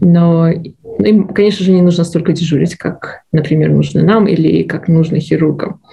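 A woman with an unremarkable speaking voice, fairly low-pitched, at a moderate pace. Her intonation is fairly even, and she hardly pauses. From Belarus. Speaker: medical resident, former physician. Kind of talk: interview. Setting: studio.

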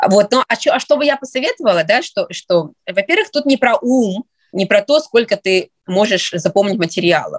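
A woman at a moderate pace with very wide pitch swings, in a dry, close sound with no echo. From Russia. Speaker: psychiatry resident, former pediatrician. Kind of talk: interview. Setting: studio.

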